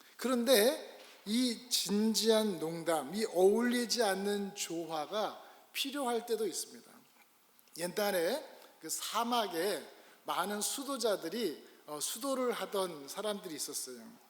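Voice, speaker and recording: Over audible room echo, a man speaks very slowly in a high pitch with lively intonation. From Korea. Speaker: pastor. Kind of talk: sermon. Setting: church.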